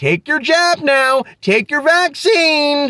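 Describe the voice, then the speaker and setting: Using a very slow pace and a high pitch, the speaker puts on a character voice. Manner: passive, compliant.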